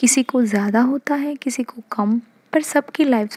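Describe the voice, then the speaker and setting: A soft-spoken woman with a fairly high voice and ordinary pitch variation, recorded with a dry, close sound and no echo. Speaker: ASMR youtuber. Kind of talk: softspoken ASMR talk. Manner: halting.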